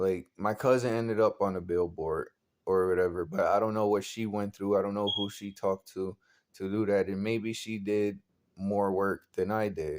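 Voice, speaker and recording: In a very clean recording with a silent background, a man speaks at a moderate pace with fairly low pitch and fairly even intonation. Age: 20s. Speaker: vlogger, aspiring model. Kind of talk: casual vlog monologue. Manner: halting, repetitive.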